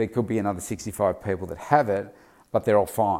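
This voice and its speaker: With a fairly low pitch and ordinary pitch variation, a man talks on a very clean recording against a silent background. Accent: Australian. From Australia. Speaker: weight loss coach and daily podcaster. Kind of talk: solo daily vlog commentary. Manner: casual, filler-heavy (uh, um).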